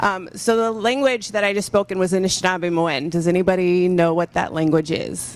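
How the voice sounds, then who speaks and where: An ordinary speaking voice with an American accent moves at a fairly quick pace with hardly any pauses. Its pitch varies in an ordinary way. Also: woman, medium pitch for a woman. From Michigan. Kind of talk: panel discussion.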